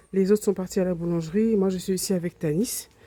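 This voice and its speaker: A soft-spoken woman's medium-pitched voice, dark and mellow in tone, with fairly even intonation. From Réunion. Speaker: travel vlogger. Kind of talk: vlog home tour. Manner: halting.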